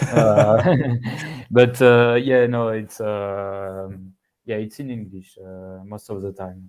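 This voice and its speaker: A man with a French accent, fairly low in pitch, very slow, with big swings in loudness. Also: fairly even intonation. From France. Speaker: software developer. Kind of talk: casual interview. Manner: halting, many fillers.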